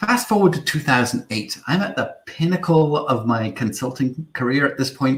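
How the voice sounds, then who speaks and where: A man in a British accent, moderate pace, very wide pitch swings and vocal fry. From Isle of Man. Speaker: marketing agency founder. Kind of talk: webinar talk. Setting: online livestream.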